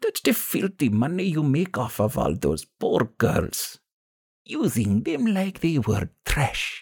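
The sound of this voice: Using a put-on character voice, a man speaks slowly at a fairly high pitch with very wide pitch swings, vocal fry, a slightly husky edge and a slightly mellow tone, all in a very clean recording with a silent background.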